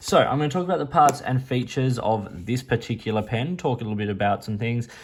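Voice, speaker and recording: At a very fast pace, a man with an Australian accent speaks at a medium pitch, somewhat breathy, with ordinary pitch variation. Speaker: pen reviewer. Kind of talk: product review. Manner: casual, hesitant with fillers.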